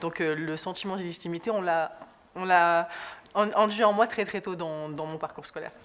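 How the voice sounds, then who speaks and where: A woman with a fairly low pitch and fairly even intonation speaks with big swings in loudness. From southern France. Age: young. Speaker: journalist. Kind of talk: interview. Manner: fast; hesitant.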